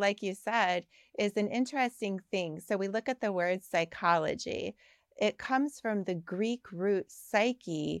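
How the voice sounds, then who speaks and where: With an American accent and a normal speaking voice, a woman of medium pitch speaks at a fairly slow pace with ordinary pitch variation, in a very clean, dry, close recording with a silent background and no echo. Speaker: clinical psychologist and author. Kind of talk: interview chat.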